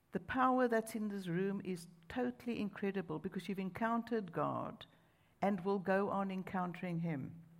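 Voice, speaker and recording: A woman speaks with a South African accent. Her pace is moderate, with ordinary pitch variation. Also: medium pitch for a woman. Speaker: preacher. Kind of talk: sermon. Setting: church with large crowd.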